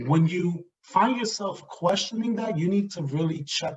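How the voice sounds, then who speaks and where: Speaking at a fairly slow pace, a man lets his pitch vary in an ordinary way. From US Northeast, New York City (South Bronx). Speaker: diversity and inclusion director. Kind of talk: talk on microaggressions. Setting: virtual event. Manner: animated.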